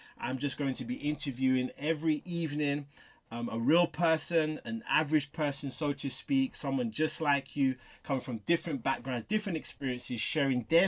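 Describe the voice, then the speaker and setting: A man speaks with a London accent at a fairly high pitch and a moderate pace, with ordinary pitch variation. The recording is very clean, with a silent background. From southeast London. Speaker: interviewer. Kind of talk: interview.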